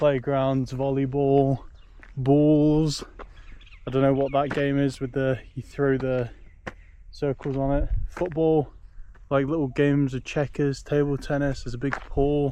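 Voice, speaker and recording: In a British accent, a man with a dark, mellow tone and fairly high pitch speaks fairly slowly and in a flat monotone, leaving long, frequent pauses. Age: 30s. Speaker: travel vlogger. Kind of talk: casual vlog monologue. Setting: outdoors.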